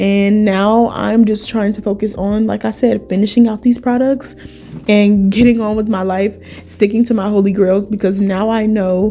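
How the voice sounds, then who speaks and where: Music plays in the background. Over it, a woman speaks at fairly high pitch. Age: 20s. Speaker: esthetician. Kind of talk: casual talk to camera. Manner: upbeat.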